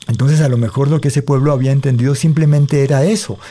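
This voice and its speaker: A somewhat breathy man of medium pitch with a dark, mellow tone and a Valle del Cauca Colombian accent. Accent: Colombian Valle del Cauca (caleño) Spanish. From Colombia, Cali. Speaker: storyteller and writer. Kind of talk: interview with oral storytelling. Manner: expressive storytelling delivery.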